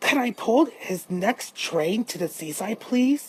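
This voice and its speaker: A woman's put-on character voice, fairly high in pitch, at a fairly slow pace. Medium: read story. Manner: gentle, wistful.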